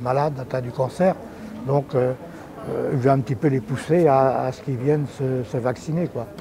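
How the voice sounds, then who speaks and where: A man keeps his intonation fairly even at a moderate pace, with background noise noticeable. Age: 70s. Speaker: vaccinated resident. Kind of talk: vox pop interview.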